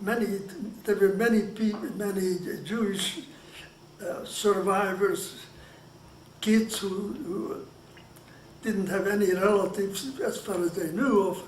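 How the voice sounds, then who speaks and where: With a Hungarian accent, a high-pitched man speaks at a very slow pace with long, frequent pauses and fairly even intonation, amid noticeable background noise and audible room echo. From Hungary. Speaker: Holocaust survivor. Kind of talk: oral history interview. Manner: halting, with many restarts.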